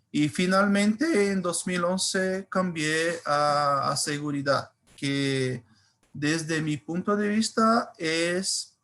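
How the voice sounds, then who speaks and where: At a very slow pace, a man speaks with a Brazilian accent in a bright, sharp tone. His pitch is high, with ordinary variation. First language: Portuguese (speaking Spanish). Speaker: cybersecurity engineer. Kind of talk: webinar presentation. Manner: halting, many fillers.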